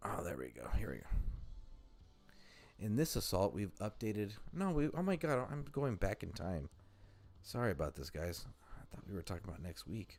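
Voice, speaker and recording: With music playing in the background, a man talks at a moderate pace, his pitch swinging very widely between long, frequent pauses. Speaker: gaming livestreamer. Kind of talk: casual livestream commentary. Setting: live stream. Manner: halting, many fillers.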